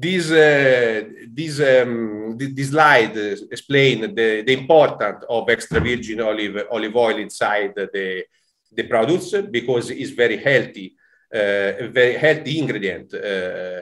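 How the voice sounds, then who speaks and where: Speaking with an Italian accent, a man keeps a medium pitch, ordinary pitch variation and a fairly slow pace. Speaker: food producer representative. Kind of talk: webinar presentation. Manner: halting.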